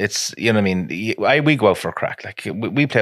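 In a very clean recording with a silent background, a man with an Irish Midlands accent speaks at a very fast pace with lively intonation. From Ireland, County Offaly. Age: 30s. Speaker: crane business owner. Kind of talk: casual chat.

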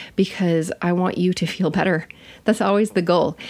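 A woman talks with a fairly low pitch and vocal fry. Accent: American. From US Midwest. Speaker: podcast host, nurse and health educator. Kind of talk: solo podcast monologue. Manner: casual, chatty.

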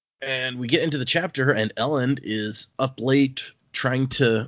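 Using an ordinary speaking voice, a man talks in a medium pitch with ordinary pitch variation. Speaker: podcast host. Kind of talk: casual chat.

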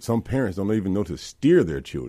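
A man with a Mississippi accent talks very fast, his dark, mellow tone edged with vocal fry. His pitch moves in an ordinary way, and the recording is very clean over a silent background. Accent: Southern US (Mississippi). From US South, Mississippi (South Jackson). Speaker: politician, Marine veteran. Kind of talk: radio interview. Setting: studio. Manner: animated.

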